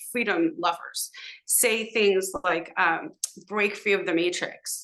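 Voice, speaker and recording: A woman's bright, sharp voice at medium pitch, with ordinary pitch variation. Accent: Californian. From Southern California, Los Angeles (San Fernando Valley). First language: Hebrew. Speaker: podcast guest, social media commentator. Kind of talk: casual interview conversation. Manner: hesitant, many fillers.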